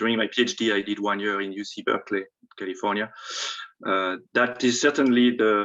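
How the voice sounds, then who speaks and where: Man with a French accent, fairly low pitch, fairly even intonation and a fairly quick pace. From France. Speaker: panelist, former international student. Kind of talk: panel talk. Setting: video call.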